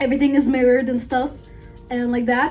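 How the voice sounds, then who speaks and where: A speaker with a non-native accent comes through over noticeable background noise. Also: woman. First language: not English. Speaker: beauty vlogger. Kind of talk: tutorial vlog. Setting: filming at home.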